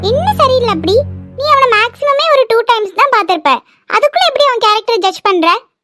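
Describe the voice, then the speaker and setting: A woman does a cartoonish character voice at an extremely high pitch with lively intonation, recorded dry and close with no echo, with loud music in the background. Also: moderate pace. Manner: direct, argumentative.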